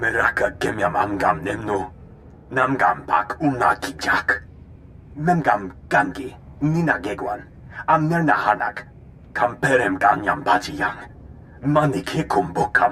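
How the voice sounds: Put-on character voice from a man, bright and sharp in tone, fairly slow, with big pitch swings. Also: medium pitch for a man.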